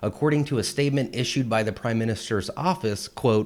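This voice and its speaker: At a moderate pace, a man of medium pitch talks in a plain, everyday voice. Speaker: parody news host. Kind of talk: satirical news read.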